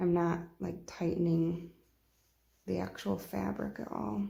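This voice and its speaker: A woman is speaking. Room echo is audible. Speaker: sewing tutorial creator. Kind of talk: tutorial. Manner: quiet, subdued; casual, conversational.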